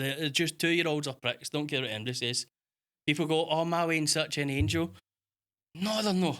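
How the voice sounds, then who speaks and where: An animated voice with a Scottish accent moves at a fairly quick pace, broken by long, frequent pauses. Pitch variation is ordinary, and the recording is very clean with a silent background. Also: man, fairly high pitch for a man. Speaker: podcast co-host. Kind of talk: casual chat.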